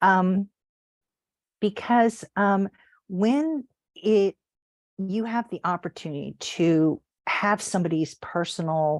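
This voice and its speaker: Lively intonation comes through a dry, close sound with no echo. The recording is very clean, with a silent background. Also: woman. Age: 60s. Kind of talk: casual devotional talk. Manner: hesitant, many fillers.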